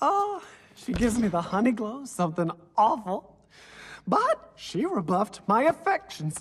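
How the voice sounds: A man performs a cartoonish character voice at an extremely high pitch, fairly bright with a slightly husky edge and very wide pitch swings. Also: fairly slow pace.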